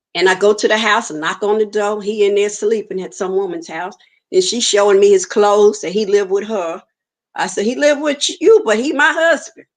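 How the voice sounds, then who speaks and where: A woman's plain, everyday voice, medium in pitch, with lively intonation and a fairly quick pace. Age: 60s. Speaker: guest sharing life story. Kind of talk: testimony.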